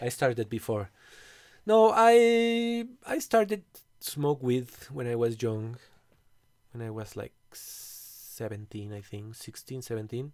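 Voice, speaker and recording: Very slow speech from a man with a Spanish accent, long, frequent pauses, big swings in loudness and a very clean recording with a silent background. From Mexico City. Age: 40s. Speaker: composer and bandleader. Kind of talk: casual chat. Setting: recording studio.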